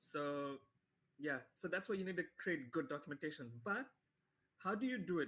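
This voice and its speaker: His voice sits high in pitch for a man. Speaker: software developer giving a tutorial. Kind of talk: live tutorial webinar. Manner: fast; casual, filler-heavy.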